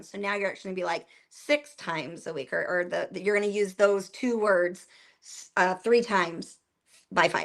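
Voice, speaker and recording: A woman's raspy, put-on character voice of medium pitch, with ordinary pitch variation at a moderate pace, on a very clean recording with a silent background. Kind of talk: teaching, instructional. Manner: talking fast, words tripping over each other.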